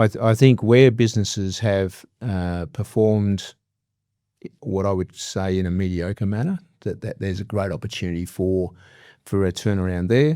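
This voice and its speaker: In an Australian accent, a dark, mellow voice moves at a moderate pace with ordinary pitch variation on a very clean recording with a silent background. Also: man. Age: 60s. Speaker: business leader and executive coach. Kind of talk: interview. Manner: hesitant, many fillers.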